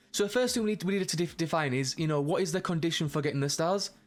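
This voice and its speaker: Music plays in the background as a man speaks very fast. His voice is fairly high, with ordinary pitch variation. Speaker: game development tutorial creator. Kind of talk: tutorial. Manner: halting, many fillers and restarts.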